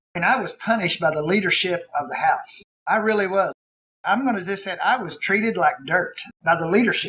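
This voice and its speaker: Raising and projecting his voice, a man with an American accent speaks fairly quickly in a high, bright, sharp tone with ordinary pitch variation. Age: 60s. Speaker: pastor and state legislator. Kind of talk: panel talk with Q&A.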